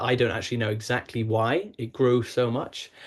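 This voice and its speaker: A man with a British accent speaks at medium pitch and a moderate pace. His voice is somewhat breathy. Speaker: logistics partnerships manager. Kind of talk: webinar presentation. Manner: hesitant, many fillers.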